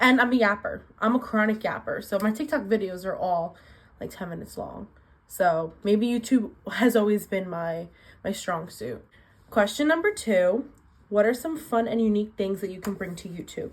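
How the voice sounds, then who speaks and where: Moderately paced speech comes from a woman. Her pitch is fairly high, and her voice sounds somewhat breathy. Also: ordinary pitch variation, big swings in loudness. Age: 20s. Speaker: booktuber vlogger. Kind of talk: casual chat.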